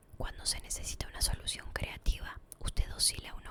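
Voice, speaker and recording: Noticeable background noise sits behind a woman whispering at a moderate pace. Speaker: ASMR creator. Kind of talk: whispered book reading for sleep.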